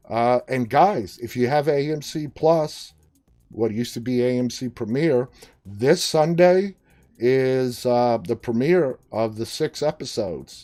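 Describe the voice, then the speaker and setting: Music plays in the background as a man speaks at a fairly slow pace. His pitch is medium, with ordinary variation. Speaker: talk show host. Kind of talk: live-stream talk show hosting.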